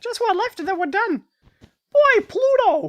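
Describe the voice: An extremely high-pitched, squeaky put-on character voice. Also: moderate pace.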